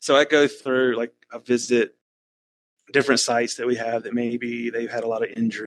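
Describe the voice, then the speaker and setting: A man speaks at a medium pitch with a slight Southern US accent. His pace is fairly quick and his intonation monotone and flat. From Alabama, US South. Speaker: risk management worker, podcast guest. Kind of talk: casual chat.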